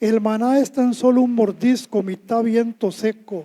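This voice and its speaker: In a Costa Rican accent, a man talks at a fairly slow pace with a high pitch and a dark, mellow tone. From Costa Rica, Alajuela. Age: 70s. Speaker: poet. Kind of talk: poetry reading; humorous anecdote on stage. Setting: stage with audience.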